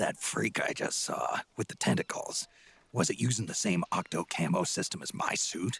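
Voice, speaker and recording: Putting on a character voice, a man talks at a moderate pace and medium pitch in a dry, close sound with no echo. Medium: video game. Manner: terse, gruff.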